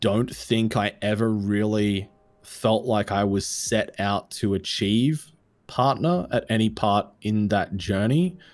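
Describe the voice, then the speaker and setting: A man with an Australian accent speaks at a very slow pace. His pitch is fairly low, with ordinary pitch variation. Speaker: content creator, streamer. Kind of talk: casual interview chat.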